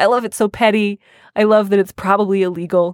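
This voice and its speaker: Dry and close with no echo, this very clean recording against a silent background carries a woman with an unremarkable speaking voice, speaking at a medium pitch and a fairly quick pace. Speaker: advice columnist podcast host. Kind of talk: casual chat.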